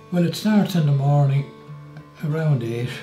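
Clear music plays behind a man who speaks at a fairly slow pace with ordinary pitch variation. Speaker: family carer for his wife. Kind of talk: interview answer. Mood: warm, reflective. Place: kitchen.

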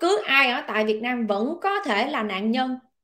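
A woman's high, bright, sharp voice in a Southern Vietnamese accent, with very wide pitch swings at a fairly slow pace, in a very clean recording with a silent background. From southern Vietnam, Long An. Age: 30s. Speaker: online political commentator. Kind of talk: casual monologue commentary. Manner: loud.

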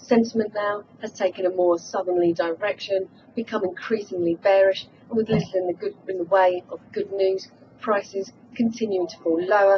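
Moderately paced speech from a woman, fairly even in intonation, over light background noise. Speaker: market news correspondent. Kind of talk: news report. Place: office.

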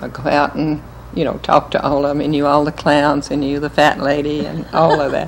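With an American accent and a very deep, low pitch, a woman speaks at a moderate pace over light background noise. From Winston-Salem, North Carolina; North Carolina. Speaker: interviewee. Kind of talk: oral history interview answer. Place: home room. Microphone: old recording.

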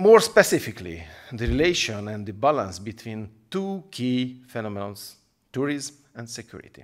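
In a Hungarian accent, a man speaks at a moderate pace with very wide pitch swings and big swings in loudness over a quiet background. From Hungary. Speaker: politician. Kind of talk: recorded video address. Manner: formal. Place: studio. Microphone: podium.

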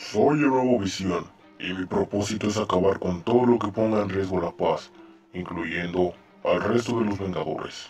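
A put-on character voice at a moderate pace over faint background music. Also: man, fairly low pitch for a man. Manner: flat, literal, machine-like.

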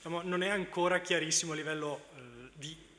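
Speech at a fairly slow pace comes with light background noise. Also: man. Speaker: charging equipment manufacturer representative; speaker. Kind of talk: conference talk. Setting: stage with audience. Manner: halting. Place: hall.

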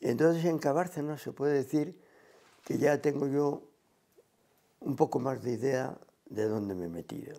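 A man's dark, mellow voice, fairly high in pitch, with lively intonation over a quiet background. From Cantabria, Spain (Santander); Cantabria, Spain. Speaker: retired teacher. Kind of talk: oral history interview; interview answer. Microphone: lapel.

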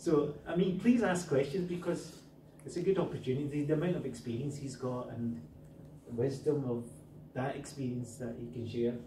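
A man's medium-pitched voice with a dark, mellow tone, ordinary pitch variation and a moderate pace, plus audible room echo.

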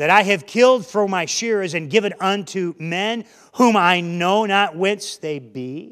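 The reading voice sounds natural. Pitch moves up and down in an ordinary way.

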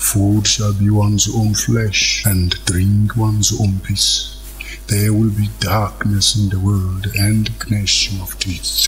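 A man does a cartoonish character voice at a fairly low pitch and a fairly slow pace, with clear background noise behind him. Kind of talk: biblical prophecy. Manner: solemn, preaching.

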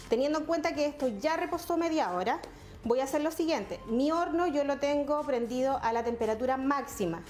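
With faint music in the background, a woman speaks at a moderate pace in a high voice with ordinary pitch variation. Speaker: cooking instructor. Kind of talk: tutorial. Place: kitchen.

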